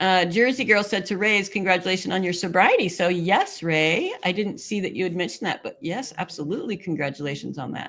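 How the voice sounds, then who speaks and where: With ordinary pitch variation, a plain, everyday voice talks at a fairly quick pace. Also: woman, medium pitch for a woman, hardly any pauses. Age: 60s. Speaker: live stream host reading chat. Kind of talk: casual chat reading viewer comments.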